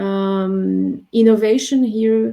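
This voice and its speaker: Speaking with a non-native accent, a woman uses a medium pitch. Her tone is dark and mellow. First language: not English. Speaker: professor. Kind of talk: webinar interview. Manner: hesitant, many fillers.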